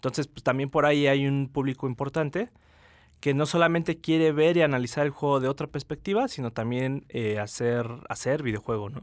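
This man has a plain, everyday voice, fairly high in pitch, moving at a fairly quick pace with ordinary pitch variation. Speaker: film festival director. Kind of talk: radio interview. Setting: radio studio.

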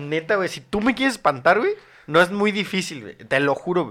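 A man speaks in a bright, sharp tone on a very clean recording with a silent background. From Mexico City. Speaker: content creator. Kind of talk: casual chat. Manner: halting.

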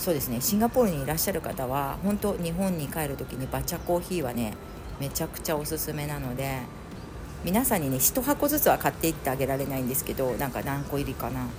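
Speech rushes at a very fast pace with lively intonation, audible room echo and music in the background. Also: woman, very deep, low pitch for a woman. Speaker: podcast host. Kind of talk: casual solo chat. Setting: at home, moving between rooms. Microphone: room echo on voice.

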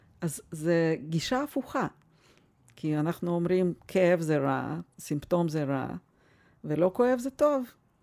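A woman with a Russian accent speaks at a fairly slow pace in a fairly low pitch with a dark, mellow tone and very wide pitch swings. Long, frequent pauses break up her speech in a very clean recording with a silent background. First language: Russian (speaking Hebrew). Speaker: family doctor. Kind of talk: interview.

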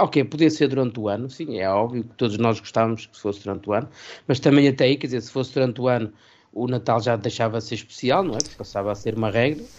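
A man at medium pitch, talking very fast, with big swings in loudness and ordinary pitch variation. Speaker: radio presenter. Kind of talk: casual chat.

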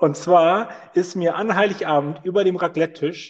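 Loud and at a fairly slow pace, a man talks with a high pitch and lively intonation. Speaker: podcast host. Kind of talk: casual chat.

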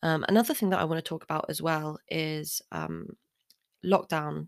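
A woman's very deep, low voice at a fairly quick pace, dry and close with no echo, in a very clean recording with a silent background. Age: 20s. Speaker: podcast host. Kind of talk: solo monologue. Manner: halting, many fillers.

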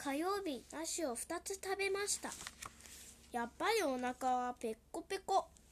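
Extremely high in pitch, a woman speaks fairly slowly with lively intonation. Noticeable background noise can be heard. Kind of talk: children's picture-book reading aloud in Japanese, translating each English line.

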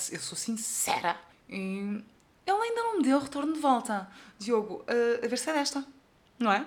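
Speaking in a European Portuguese accent, a woman sounds animated at a fairly high pitch and moderate pace, her pitch swinging very widely. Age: 20s. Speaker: podcaster. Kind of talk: casual monologue.

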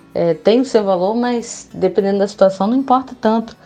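With music in the background, a woman talks at a fairly quick pace in a fairly high pitch. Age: 20s. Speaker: advertising student. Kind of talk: casual interview.

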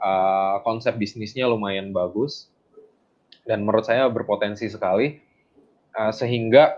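Long, frequent pauses in a man's moderately paced speech, medium in pitch, with ordinary pitch variation. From Bandung, West Java, Indonesia (Minang parents). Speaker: agribusiness CEO. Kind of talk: interview. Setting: remote call. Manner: halting, many fillers.

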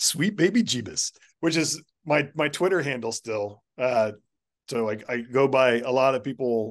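A man talks fairly slowly at a medium pitch. It is an unremarkable speaking voice with ordinary pitch variation. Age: 50s. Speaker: artist and art educator. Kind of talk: casual chat.

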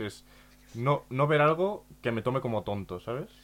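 A man has a normal speaking voice at medium pitch with ordinary pitch variation. He moves at a fairly quick pace. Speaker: podcast host. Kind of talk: casual chat.

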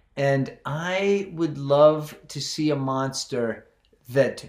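This male voice sits fairly high. The pitch varies in an ordinary way. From rural area. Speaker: filmmaker. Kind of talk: casual chat.

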